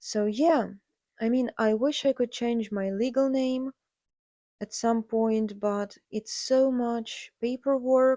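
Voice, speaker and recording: Intonation stays fairly even as a woman with a Ukrainian accent talks at a very slow pace. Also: dry, close sound with no echo. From Ukraine. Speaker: podcast host, artist. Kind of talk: casual monologue. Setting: home recording alone with cats. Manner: hesitant with fillers.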